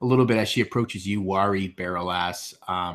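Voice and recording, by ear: Someone is reading aloud in a natural voice, and the pitch rises and falls in an ordinary way.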